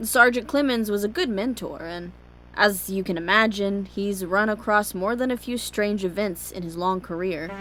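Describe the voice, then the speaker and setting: A woman with an American accent speaks at a moderate pace in a medium-pitched voice with ordinary pitch variation. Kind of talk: audio drama narration.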